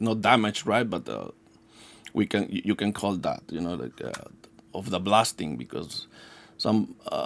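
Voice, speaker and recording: With a non-native accent, a man speaks at a moderate pace, leaving long, frequent pauses, his loudness swinging widely. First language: not English. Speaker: yo-yo maker. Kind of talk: product demonstration. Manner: halting, many fillers and restarts; casual.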